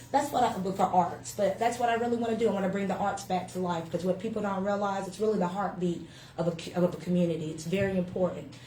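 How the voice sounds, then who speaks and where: A woman with a Southern US accent talks very fast and in an animated tone at medium pitch with ordinary pitch variation, amid audible room echo and noticeable background noise. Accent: Southern US (Georgia). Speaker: winery owner. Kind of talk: casual interview. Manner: loud; animated, hesitant fillers.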